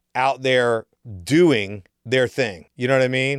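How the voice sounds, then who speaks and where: A man of medium pitch talks at a moderate pace in a very clean, dry, close recording with no echo and a silent background. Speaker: podcast co-host, real estate investor. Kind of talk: casual chat. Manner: animated, casual.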